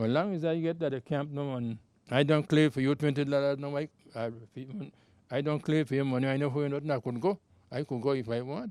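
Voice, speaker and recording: A man talks at a fairly quick pace in a fairly high pitch, with a dark, mellow tone and ordinary pitch variation. His pauses are long and frequent. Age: 80s+. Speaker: former mahogany camp worker and riverboat hand. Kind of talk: interview answer.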